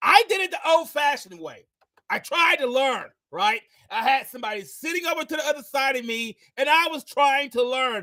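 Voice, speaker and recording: An extremely high-pitched man's voice, raised and projected, bright, sharp and energetic at a moderate pace. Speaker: podcast host. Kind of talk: podcast interview.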